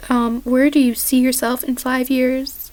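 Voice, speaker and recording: A high-pitched woman's voice over noticeable background noise. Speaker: vlogger. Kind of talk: casual Q&A vlog. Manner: halting. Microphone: poor sound quality.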